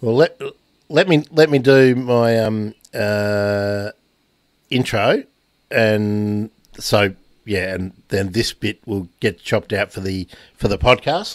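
Speaking very slowly with long, frequent pauses, a man with an Australian accent has a fairly low pitch and ordinary pitch variation, recorded with a dry sound with no echo against a quiet background. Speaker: podcast host. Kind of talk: casual chat. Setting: video call. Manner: halting. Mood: relaxed, friendly. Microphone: studio mic.

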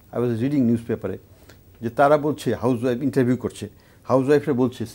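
A dark, mellow tone with ordinary pitch variation. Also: man. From Bangladesh. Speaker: economist; talk show guest. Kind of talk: studio panel discussion. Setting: studio. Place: studio. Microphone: lapel.

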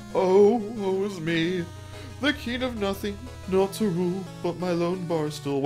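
In a put-on character voice at a middle pitch, the speaker goes fairly slowly over loud background music. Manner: mournful, woeful.

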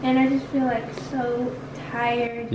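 Over noticeable background noise, a woman talks fairly slowly in a high pitch with a monotone, flat intonation. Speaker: vlogger. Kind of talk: casual vlog chat. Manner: weak, tired sick voice. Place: home room. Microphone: phone near.

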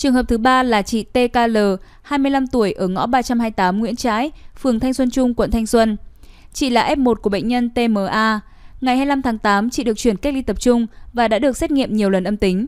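On a very clean recording with a silent background, a woman uses a normal speaking voice with a fairly high pitch, ordinary pitch variation and a moderate pace. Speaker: news reader. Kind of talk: news reading. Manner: formal.

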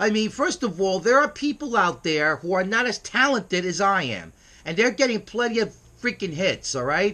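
With a New York accent, a raised, projected voice has a bright, sharp tone. The intonation is lively and the pace moderate. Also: man, high pitch for a man. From US Northeast, New York City. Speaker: internet radio host. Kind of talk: casual vlog monologue. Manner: brash, emphatic; halting, stumbling over words. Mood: irritated, boastful. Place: home room. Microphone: webcam.

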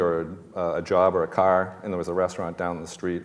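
A man speaks with a Boston accent. The background is quiet. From grew up near Boston, Massachusetts. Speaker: chef and restaurant owner on a panel. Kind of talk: panel discussion anecdote. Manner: conversational storyteller. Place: stage.

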